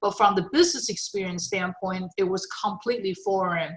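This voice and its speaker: A woman with a Chinese accent speaks at a medium pitch with ordinary pitch variation. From China. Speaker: retired technology executive. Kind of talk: interview. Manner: halting, many fillers.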